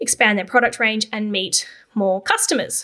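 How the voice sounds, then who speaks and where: A woman speaks in a bright, sharp tone with a high pitch. Her pace is moderate. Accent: Australian. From Australia, Canberra. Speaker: podcast host and copywriting agency founder. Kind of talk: solo podcast monologue. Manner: casual, conversational.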